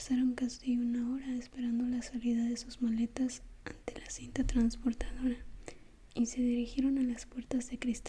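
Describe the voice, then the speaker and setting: Someone soft-spoken talks at a moderate pace against noticeable background noise. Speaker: ASMR creator. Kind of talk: read story.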